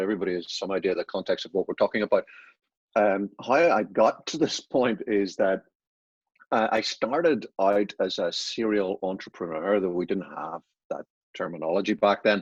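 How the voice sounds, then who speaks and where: A man with an Irish accent talks at a moderate pace. The sound is dry and close with no echo, over a quiet background. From Ireland. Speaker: business consultant and author. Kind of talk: podcast interview.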